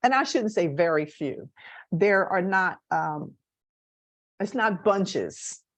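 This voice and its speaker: In an American accent, a woman speaks at a very slow pace with a medium pitch, lively intonation and long, frequent pauses against a quiet background. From US Northeast, Camden, New Jersey. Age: 70s. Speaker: guest speaker. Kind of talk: personal talk to a class. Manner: halting, with fillers.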